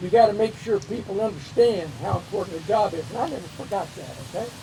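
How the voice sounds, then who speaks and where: With noticeable background noise, a man speaks in an animated tone at a fairly quick pace. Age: 70s. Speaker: retired Air Force officer, hall of fame inductee. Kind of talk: acceptance speech. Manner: folksy, animated.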